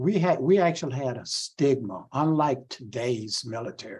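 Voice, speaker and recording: With a Southern US accent, a man speaks at a medium pitch and moderate pace, using ordinary pitch variation. His tone is dark and mellow and somewhat breathy. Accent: Southern US (Georgia). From US South, Waycross, Georgia. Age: 70s. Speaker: civil rights organization president, Vietnam veteran. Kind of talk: talk. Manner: halting.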